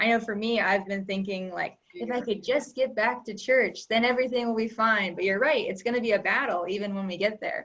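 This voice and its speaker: At a fairly quick pace, a woman speaks in a plain, everyday voice, fairly high in pitch, with ordinary pitch variation. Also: hardly any pauses. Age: young. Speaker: book club discussion leader. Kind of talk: group discussion.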